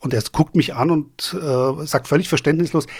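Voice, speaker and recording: A moderate pace carries the speech along. Some breathiness comes through. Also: man. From Germany, Frankfurt am Main. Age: 50s. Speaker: beer video blogger and beer sommelier. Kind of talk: casual chat.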